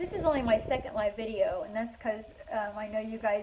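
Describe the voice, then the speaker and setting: Talking at a fairly quick pace, this voice comes through over noticeable background noise. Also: woman. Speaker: furniture painter and shop owner. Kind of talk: live tutorial chat. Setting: live video stream. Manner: halting, many fillers.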